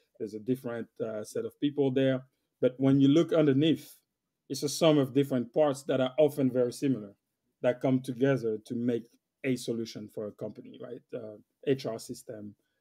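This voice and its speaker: Speaking fairly quickly with a French accent, a man uses a medium pitch, a dark, mellow tone and fairly even intonation. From West Africa (Senegal). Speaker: IT solution architect. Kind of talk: interview conversation. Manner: hesitant with fillers and repeats.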